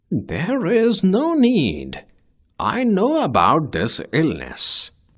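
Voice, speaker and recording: Against a quiet background, a man performs a cartoonish character voice at a high pitch and a very slow pace. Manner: calm, confident.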